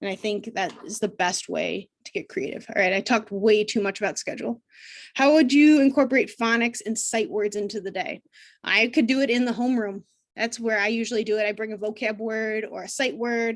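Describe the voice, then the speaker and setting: With a fairly high pitch and ordinary pitch variation, a woman talks at a fairly quick pace against a quiet background. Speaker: special education teacher. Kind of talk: live training webinar. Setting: video call. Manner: fast. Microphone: video call.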